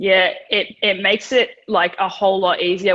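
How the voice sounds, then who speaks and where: A woman speaks with an Australian accent at a moderate pace. Her pitch sits in the medium range, and her intonation stays flat and monotone. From Australia, Melbourne. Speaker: professional wrestler. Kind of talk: interview. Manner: casual, hesitant.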